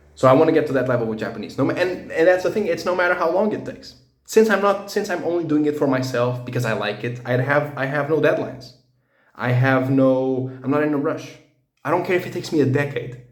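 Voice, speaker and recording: This man's voice sits fairly high, and its pitch varies in an ordinary way. He talks at a very fast pace. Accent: Portuguese. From Portugal. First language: Portuguese. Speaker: language learning vlogger. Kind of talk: casual personal monologue. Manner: halting, many fillers and restarts.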